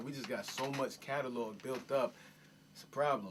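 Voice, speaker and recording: The pace is fairly quick as a man speaks. Noticeable background noise is audible. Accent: American. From Miami, Dade County. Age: 20s. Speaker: rapper. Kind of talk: casual interview. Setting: home studio basement.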